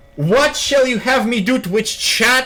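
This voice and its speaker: In a raised, projected voice, a man speaks at a fairly slow pace. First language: not English. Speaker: video game streamer. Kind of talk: casual live stream commentary. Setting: live stream with chat. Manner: casual, animated.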